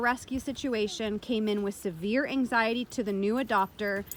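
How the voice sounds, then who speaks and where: A woman speaks loudly at a moderate pace, her tone animated. Her pitch varies in an ordinary way. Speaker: dog trainer. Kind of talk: tutorial commentary over training footage.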